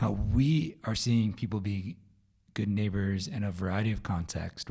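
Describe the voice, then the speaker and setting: A man's fairly low, somewhat breathy voice with a dark, mellow tone, ordinary pitch variation and a fairly slow pace. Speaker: podcast host. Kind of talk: solo podcast update.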